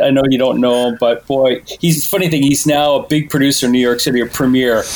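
Over noticeable background noise, a man speaks at a fairly quick pace in a medium pitch, with very even loudness and fairly even intonation. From Canada, Toronto. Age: 40s. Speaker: podcast guest, music enthusiast. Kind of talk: casual chat.

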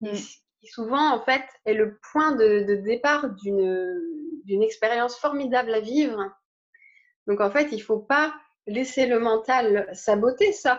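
Speaking very slowly, a woman uses a fairly high pitch with ordinary pitch variation and big swings in loudness. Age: 30s. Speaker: spiritual teacher. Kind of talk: interview.

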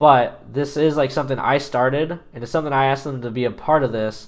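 A man's unremarkable speaking voice, medium pitch, moderate pace. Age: 20s. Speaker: fill-in podcast host, gamer. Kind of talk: solo casual monologue. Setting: home, working at computer while recording.

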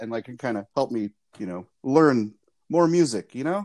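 Recorded very cleanly against a silent background with a dry, close sound and no echo, a man talks at a fairly quick pace in an unremarkable speaking voice with lively intonation. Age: 40s. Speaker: podcast guest. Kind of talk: casual chat.

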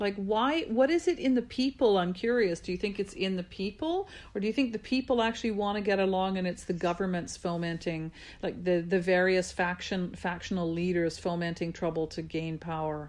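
Against a quiet background, a woman of medium pitch talks with ordinary pitch variation in a plain, everyday voice. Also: fairly quick pace. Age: 50s. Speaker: podcast host and former teacher. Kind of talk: casual interview chat.

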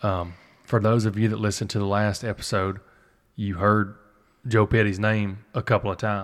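A man with an American accent and a fairly low pitch speaks at a moderate pace in a monotone, flat intonation with long, frequent pauses, captured in a very clean recording with a silent background. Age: 20s. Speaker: podcast host and duck hunter. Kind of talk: casual conversational interview.

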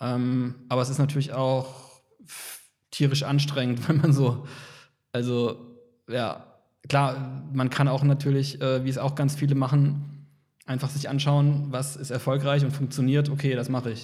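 A somewhat breathy man's voice, dark and mellow, fairly high in pitch, at a fairly slow pace with long, frequent pauses, monotone and flat, with audible room echo. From Kaiserslautern, Palatinate, Germany. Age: 30s. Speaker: photographer. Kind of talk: casual interview chat.

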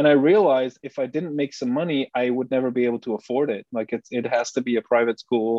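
A man with a Flemish accent speaks very fast at medium pitch, with ordinary pitch variation and hardly any pauses. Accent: Flemish Dutch accent in English. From Belgium, Bruges. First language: Dutch. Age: 30s. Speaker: Bitcoin researcher and writer. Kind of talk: casual interview chat. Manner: halting, many repeated words.

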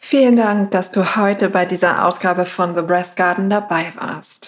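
A plain, everyday voice speaks at a fairly slow pace. The recording is very clean, with a silent background. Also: woman. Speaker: meditation guide. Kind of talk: guided meditation. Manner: slow, soft, calm and soothing with long pauses; gentle, warm, unhurried.

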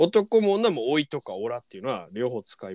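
With very wide pitch swings, a man speaks at a fairly high pitch in a dry, close sound with no echo. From rural Miyagi, Japan. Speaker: podcast host and band guitarist. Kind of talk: casual chat. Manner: animated.

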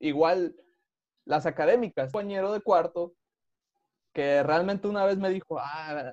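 The man's voice sits high and moves at a moderate pace with ordinary pitch variation. The sound is dry and close with no echo, over a quiet background. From Veracruz, Mexico. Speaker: podcast host, engineer. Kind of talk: casual interview.

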